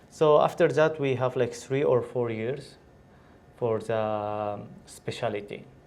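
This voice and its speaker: The speech moves at a very slow pace with ordinary pitch variation. Audible room echo surrounds it. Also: man, medium pitch for a man. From Syria. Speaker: doctor. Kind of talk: interview. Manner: halting.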